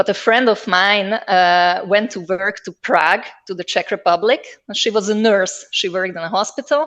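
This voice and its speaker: A woman speaks at a medium pitch in a Hungarian accent, with ordinary pitch variation, hardly any pauses and a quiet background. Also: moderate pace. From southern Slovakia, Hungarian-speaking minority near Hungarian border. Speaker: linguist, researcher. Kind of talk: interview. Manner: hesitant, many fillers.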